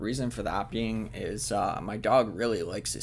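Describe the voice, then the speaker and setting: A man with a Canadian accent at a fairly slow pace. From Canada. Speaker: gaming video creator. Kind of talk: let's play commentary narration. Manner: hesitant, many fillers.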